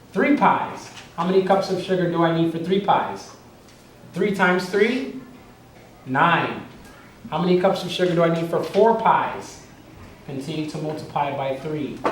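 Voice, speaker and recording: Noticeable background noise and audible room echo surround a man's high-pitched voice. He talks at a moderate pace with ordinary pitch variation and long, frequent pauses. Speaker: teacher. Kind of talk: tutorial.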